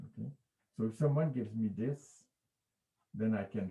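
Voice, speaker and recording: A somewhat breathy voice with a dark, mellow tone moves at a moderate pace. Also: man. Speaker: physics professor. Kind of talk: lecture. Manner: halting.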